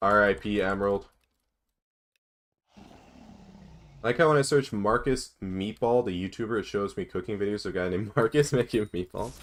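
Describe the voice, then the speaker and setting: An ordinary speaking voice with an American accent, at a moderate pace with ordinary pitch variation. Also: man, fairly low pitch for a man. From United States. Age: 20s. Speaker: gaming streamer. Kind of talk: live stream chat while gaming. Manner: casual, reading chat questions aloud.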